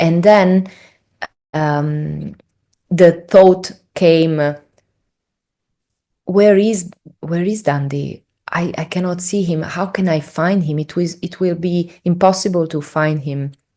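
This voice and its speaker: Speaking very slowly with long, frequent pauses, a woman with an Italian accent uses a dark, mellow tone at a fairly low pitch and fairly even intonation. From Italy. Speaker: spiritual traveler. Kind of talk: interview storytelling. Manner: halting, many fillers.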